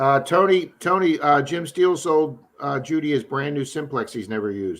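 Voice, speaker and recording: A man with a slight Baltimore accent, fairly high in pitch, at a moderate pace with lively intonation. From Baltimore, Maryland. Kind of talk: casual chat.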